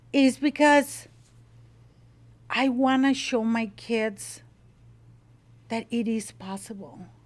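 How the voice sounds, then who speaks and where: Very slow and full of long, frequent pauses, a woman with a Mexican accent speaks in a passionate tone at a fairly high pitch. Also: ordinary pitch variation. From Mexico (Monterrey). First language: Spanish. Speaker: salsa business owner. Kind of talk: interview. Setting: home kitchen.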